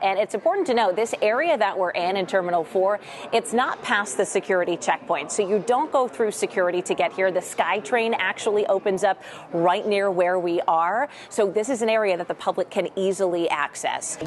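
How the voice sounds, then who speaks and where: A woman talks at a fairly quick pace at a medium pitch, with ordinary pitch variation. Her loudness stays very even above noticeable background noise. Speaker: TV news anchor and reporter. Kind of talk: TV news field report. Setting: outdoors.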